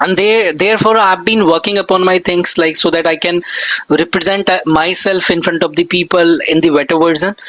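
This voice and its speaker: Amid noticeable background noise, a man with a high pitch speaks at a moderate pace with fairly even intonation. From northern India, NCR region. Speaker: English conversation tutor. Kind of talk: casual chat.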